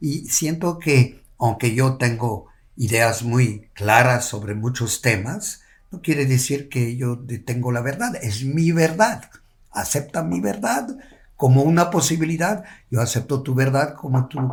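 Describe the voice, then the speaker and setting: Lively intonation marks a man's somewhat breathy voice at medium pitch. He speaks at a fairly slow pace. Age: 70s. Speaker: yoga teacher. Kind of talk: casual chat. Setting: at the host's home.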